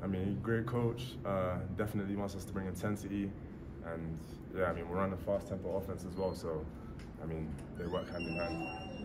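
A man speaks at a fairly quick pace while loud background noise fills the clip. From London, England. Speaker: college football tight end. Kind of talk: interview answer. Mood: relaxed, friendly, smiling. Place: meeting room. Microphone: phone near.

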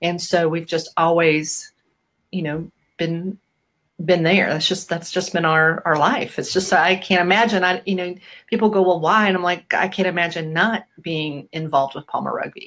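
With an American accent and a plain, everyday voice, a woman speaks at a fairly low pitch and a moderate pace against a quiet background. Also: fairly even intonation. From US Midwest, Bettendorf, Iowa; Iowa. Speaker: rugby program supporter; interview guest, chiropractor. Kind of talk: casual interview. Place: home room.

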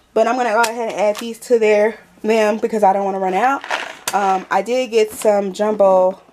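Against noticeable background noise, a woman with an American accent speaks at a moderate pace. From Texas. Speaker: lifestyle vlogger. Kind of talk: haul video, casual chat to camera. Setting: at home.

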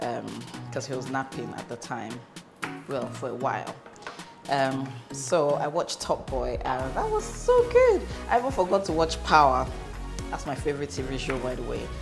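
A woman speaks at a moderate pace with long, frequent pauses. Clear music plays in the background. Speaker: cooking vlogger. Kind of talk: casual cooking vlog chat. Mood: cheerful, chatty. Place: kitchen.

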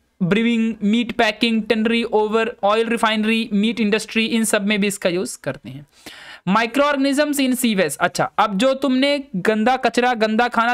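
A man's high voice at a very slow pace, with ordinary pitch variation, over a quiet background. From Madhya Pradesh, India. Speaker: online biology teacher. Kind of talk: lecture. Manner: casual, chatty.

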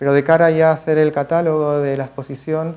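A man's voice at a moderate pace. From Argentina, Mar del Plata; Argentina. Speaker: photographer / artist. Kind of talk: masterclass talk. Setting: museum event with audience. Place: classroom. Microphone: podium.

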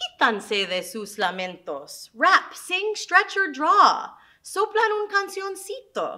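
A woman speaks at a very slow pace, her loudness swinging widely. The background is quiet. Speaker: teaching artist. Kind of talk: poetry reading, children's lesson. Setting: video lesson for schoolchildren. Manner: clear, friendly, teacherly. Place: classroom.

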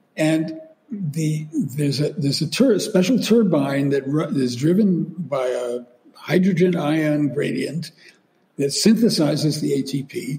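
A man speaks at a very slow pace with an American accent. His pitch is fairly high. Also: ordinary pitch variation. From New York area, US. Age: 80s+. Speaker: neuroscientist and author. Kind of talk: interview.

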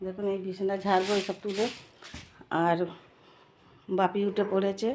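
A woman speaks at a medium pitch in a monotone with flat intonation. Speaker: vlogger and tutor. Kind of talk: casual vlog narration. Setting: at home.

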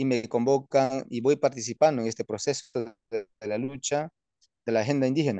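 A man's voice has a dark, mellow tone at medium pitch, with ordinary pitch variation and a moderate pace. The sound is dry with no echo over a quiet background. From Peruvian Amazon, Wampís nation; Peru. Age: 30s. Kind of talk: interview. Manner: halting, many fillers. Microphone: phone near.

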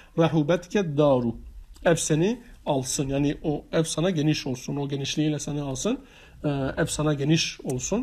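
A man speaks at a moderate pace, his voice fairly high and somewhat breathy. The recording is very clean, with a silent background. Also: ordinary pitch variation. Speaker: religious studies teacher. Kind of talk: lecture. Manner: halting.

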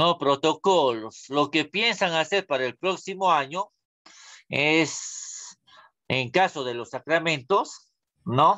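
A man with a fairly high pitch at a very slow pace, quiet background. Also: ordinary pitch variation. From Peru, Huánuco; Peru. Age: 30s. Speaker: school religion teacher. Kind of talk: online class lecture. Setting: video call. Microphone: webcam.

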